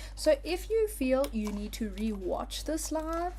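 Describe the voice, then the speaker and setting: Audible room echo follows this woman as she talks fairly slowly. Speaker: crafting instructor. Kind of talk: live tutorial. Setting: live stream. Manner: animated.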